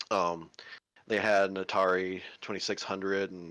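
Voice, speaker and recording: A man speaks with a Southern US accent in a fairly low pitch. The background is quiet. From Kentucky. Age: 30s. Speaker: stream community moderator. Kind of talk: casual chat.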